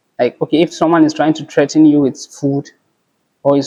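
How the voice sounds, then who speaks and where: A man with a Yoruba accent speaks at a fairly quick pace and fairly high pitch, in a dark, mellow tone and monotone, flat intonation, with a dry, close sound and no echo. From northern Nigeria. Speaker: pharmacy student. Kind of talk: casual chat.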